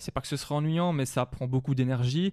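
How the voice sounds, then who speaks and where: Ordinary pitch variation from a male speaker over a quiet background. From Wallonia, Belgium (La Louvière area). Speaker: hip-hop record collector and manager. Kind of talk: interview. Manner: hesitant, many fillers.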